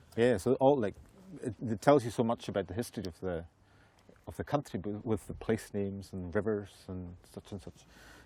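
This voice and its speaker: Speech with a Hebridean accent moves at a fairly quick pace in a dark, mellow tone. Pitch varies in an ordinary way while loudness swings widely. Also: man, fairly low pitch for a man. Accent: Hebridean Scottish. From Western Isles, Scotland. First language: Scottish Gaelic. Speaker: Gaelic singer and storyteller. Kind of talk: casual interview chat.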